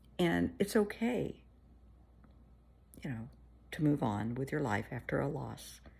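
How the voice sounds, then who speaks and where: A woman speaks with a warm tone and a very deep, low pitch, plus vocal fry. Her pitch swings very widely, and she talks at a fairly slow pace with long, frequent pauses. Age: 60s. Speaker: therapist. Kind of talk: casual chat. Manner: warm, conversational.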